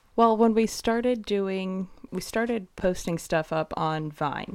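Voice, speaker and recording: A woman speaks very slowly. Her pitch varies in an ordinary way. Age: 20s. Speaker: guest, wife. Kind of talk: casual interview chat.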